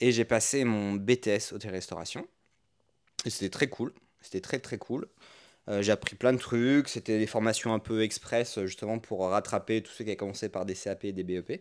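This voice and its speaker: A man with an unremarkable speaking voice talks at a fairly low pitch and a moderate pace, with fairly even intonation. His loudness swings widely, and the recording is very clean with a silent background. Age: 30s. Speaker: podcast co-host, entrepreneur. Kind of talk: casual chat. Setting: at home on a couch.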